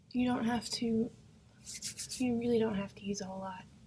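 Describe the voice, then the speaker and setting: This woman is soft-spoken. Her intonation is fairly even. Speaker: makeup vlogger and product seller. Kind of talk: makeup tutorial. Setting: at home in apartment. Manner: soft-spoken, keeping voice down; casual, hesitant with fillers.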